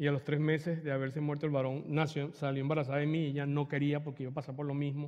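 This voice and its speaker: A man at a very fast pace over a quiet background. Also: fairly high pitch for a man, hardly any pauses. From Venezuela, Margarita Island; Venezuela. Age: 50s. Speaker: retreat speaker; speaker. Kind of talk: spiritual talk with personal testimony. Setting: church hall with audience. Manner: animated; halting. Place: church.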